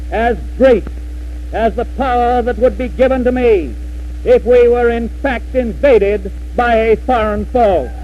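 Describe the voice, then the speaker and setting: A man with an American accent speaks in a solemn tone at a fairly slow pace. Noticeable background noise runs underneath. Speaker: president giving inaugural address. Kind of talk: formal inaugural address. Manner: solemn, measured, oratorical.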